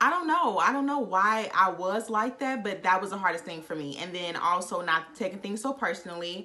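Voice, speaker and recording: Over noticeable background noise, a woman at medium pitch talks at a fairly quick pace with hardly any pauses, her tone animated and her intonation lively. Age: 20s. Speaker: vlogger. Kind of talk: casual chat.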